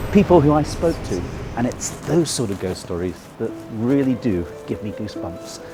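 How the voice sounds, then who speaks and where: A man with a medium-pitched voice swings very widely in pitch, with noticeable noise in the background. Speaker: tour guide; historian and author. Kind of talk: walking ghost tour guide talk. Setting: outdoors.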